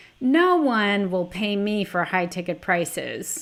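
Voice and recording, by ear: This put-on character voice sounds whiny and moves at a fairly slow pace. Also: woman, medium pitch for a woman.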